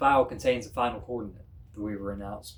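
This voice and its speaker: The speaker uses a put-on character voice. The pace is very fast. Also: man, medium pitch for a man. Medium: read story. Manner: flat, mechanical.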